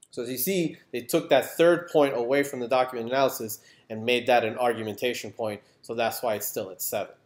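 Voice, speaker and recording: A man at a medium pitch speaks with ordinary pitch variation and big swings in loudness, on a very clean recording with a silent background. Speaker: history teacher. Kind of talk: educational presentation to teachers. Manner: lowered, quiet voice.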